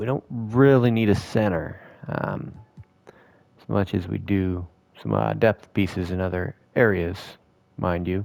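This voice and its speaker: A man with a very deep, low voice speaks at a fairly slow pace in a relaxed tone. His pitch varies in an ordinary way, while his loudness swings widely. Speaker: gaming video creator. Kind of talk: gameplay commentary. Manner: casual, relaxed.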